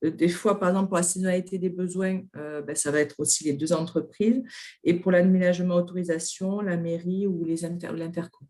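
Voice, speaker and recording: This woman talks at a fairly quick pace, her fairly low pitch carrying a dark, mellow tone. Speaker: workshop participant. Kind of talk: group presentation.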